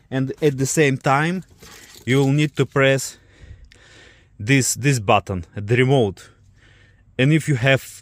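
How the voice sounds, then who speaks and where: A man with a non-native accent speaks at a fairly slow pace in a dry, close sound with no echo. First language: not English. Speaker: car DIY vlogger. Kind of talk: tutorial. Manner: halting.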